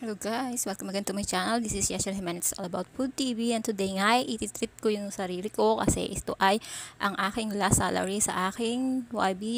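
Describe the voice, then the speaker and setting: A woman speaks at a fairly quick pace with fairly even intonation, and the sound is dry with no echo. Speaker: food vlogger. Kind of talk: casual vlog chat. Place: cafe. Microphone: phone near.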